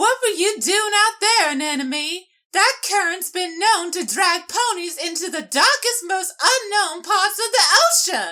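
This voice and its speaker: A female-sounding speaker uses a put-on character voice, extremely high in pitch, fairly slow and with hardly any pauses. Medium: audio drama. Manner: grave, measured.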